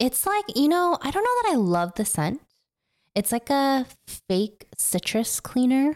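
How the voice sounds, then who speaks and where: A woman with an animated, playful tone speaks at a fairly slow pace in a high pitch, with very wide pitch swings and very even loudness, in a dry, close recording with no echo. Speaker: podcast host. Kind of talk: casual chat.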